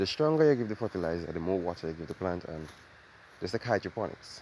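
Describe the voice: With a slightly mellow tone, a man talks at a fairly quick pace and a low pitch.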